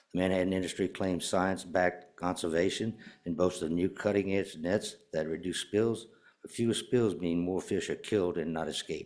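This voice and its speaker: A man with an American accent speaks at a moderate pace, his very deep, low voice held to fairly even intonation. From Louisiana, Houma. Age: 70s. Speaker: public commenter, recreational fisherman. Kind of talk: public comment at a commission meeting.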